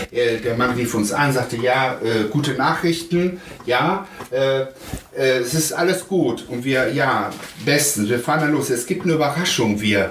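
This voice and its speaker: A man talks at a fairly slow pace and medium pitch, with ordinary pitch variation and very even loudness. Audible room echo and noticeable background noise fill the recording. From Germany, child of Spanish guest workers. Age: 40s. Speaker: father via surrogacy. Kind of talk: interview. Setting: at home.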